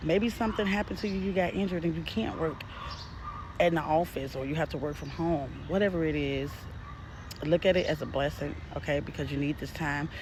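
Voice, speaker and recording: The voice moves at a fairly quick pace against noticeable background noise. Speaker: spiritual message reader. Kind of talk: casual spiritual message to viewers. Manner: unrehearsed, stuttering at times.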